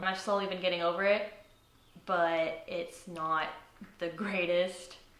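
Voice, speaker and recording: Both audible room echo and noticeable background noise surround a woman whose pitch is fairly low. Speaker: college student. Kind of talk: interview testimony. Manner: halting.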